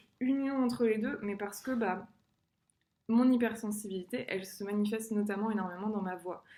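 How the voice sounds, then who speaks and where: At a fairly quick pace, a woman speaks in a fairly high pitch with fairly even intonation. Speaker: singer sharing personal experience. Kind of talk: personal vlog monologue. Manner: fast; hesitant, many fillers.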